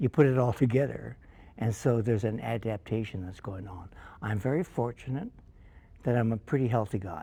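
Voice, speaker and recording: A man's somewhat breathy voice, at medium pitch with a dark, mellow tone, moves at a fairly quick pace with ordinary pitch variation. His loudness swings a lot, on a very clean recording with a silent background. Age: 80s+. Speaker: jazz singer. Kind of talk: interview.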